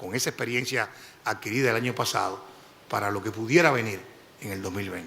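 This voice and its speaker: A man talks at a fairly quick pace with ordinary pitch variation. His tone is bright and sharp. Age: 60s. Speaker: judicial candidate. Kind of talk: formal interview. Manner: formal.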